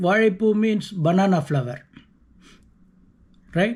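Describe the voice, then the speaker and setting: In a Tamil Nadu accent, a man talks in a high pitch with ordinary pitch variation. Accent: Tamil Indian English. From South India (Tamil). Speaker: vlogger. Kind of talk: casual monologue. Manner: halting, with self-corrections.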